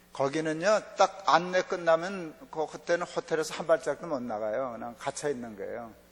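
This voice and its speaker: A man with a slight North Korean accent, moderate pace and ordinary pitch variation. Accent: underlying North Korean intonation. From South Korea, family from North Korea. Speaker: pastor. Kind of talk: sermon. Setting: church revival meeting.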